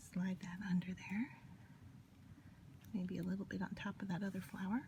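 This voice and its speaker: A woman's quiet, somewhat breathy whispering at a moderate pace. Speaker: paper crafter. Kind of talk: tutorial. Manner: gets quieter, near whisper while concentrating; casual, hesitant with fillers.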